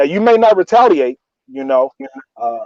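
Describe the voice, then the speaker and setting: The voice belongs to a man. The sound is dry and close, with no echo. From US inner city. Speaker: neuroscientist. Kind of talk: casual chat.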